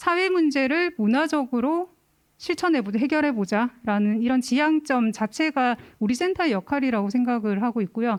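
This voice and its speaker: Very clean recording with a silent background and very even loudness. The speaker has a Gyeongsang accent, a moderate pace and lively intonation. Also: woman, high pitch for a woman. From Gyeongsang region, South Korea. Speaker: cultural center administrator. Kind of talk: forum presentation.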